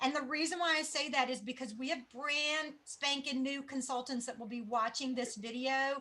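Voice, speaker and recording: A woman projects a raised voice with a bright, sharp tone at a high pitch. She keeps a moderate pace and fairly even intonation. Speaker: sales team leader. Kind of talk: training presentation.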